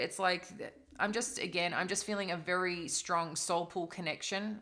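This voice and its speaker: Speaking with an Australian accent, a woman uses a medium pitch and a bright, sharp tone, keeping her intonation fairly even at a fairly slow pace. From Australia, East Coast. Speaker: tarot reader. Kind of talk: tarot reading. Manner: casual, rambling with fillers.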